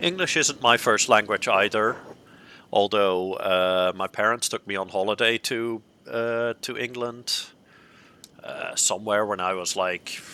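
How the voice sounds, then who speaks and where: A bright, sharp tone with a Dutch accent, at a fairly slow pace with ordinary pitch variation, in a dry, close sound with no echo. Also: man, fairly low pitch for a man. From Netherlands. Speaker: video game streamer. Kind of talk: live game commentary.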